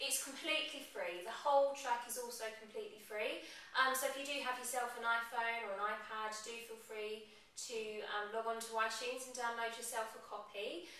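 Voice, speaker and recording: Audible room echo surrounds a woman speaking at a fairly high pitch. She keeps a moderate pace and fairly even intonation. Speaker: hypnotherapist. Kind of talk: casual talk to camera. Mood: calm, friendly. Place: home room. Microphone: camera far.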